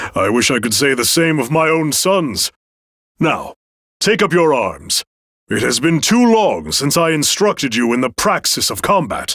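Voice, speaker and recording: Putting on a character voice, a man speaks fairly high with very wide pitch swings. His pace is moderate, and the sound is dry and close with no echo. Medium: video game. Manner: courteous, formal.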